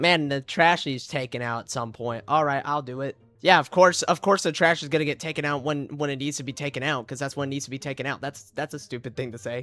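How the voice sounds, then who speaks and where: A loud man talks at a very fast pace with hardly any pauses, his fairly high voice bright and sharp with fairly even intonation. The recording is very clean, with a silent background. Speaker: streamer. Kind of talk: live stream reaction.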